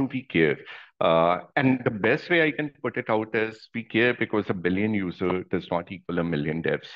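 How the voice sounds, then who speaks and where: A man's plain, everyday voice, fairly low in pitch, at a moderate pace over a quiet background. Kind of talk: technical presentation. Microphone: video call.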